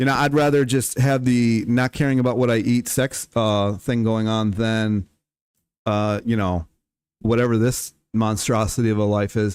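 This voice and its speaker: A man's medium-pitched voice at a moderate pace, fairly even in intonation and very even in loudness, on a very clean recording with a silent background. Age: 40s. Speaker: livestreamer. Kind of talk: casual livestream monologue. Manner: rambling, halting with fillers.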